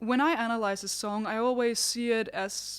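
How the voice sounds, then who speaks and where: A woman speaks with a non-native accent at a fairly high pitch. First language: not English. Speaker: singer and vocal vlogger. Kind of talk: tutorial. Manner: conversational.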